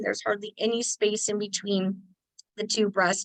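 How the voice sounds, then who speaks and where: A woman with a medium pitch and an ordinary speaking voice talks at a moderate pace in a dry, close sound with no echo. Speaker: lactation consultant and nurse. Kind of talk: webinar presentation. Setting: online webinar.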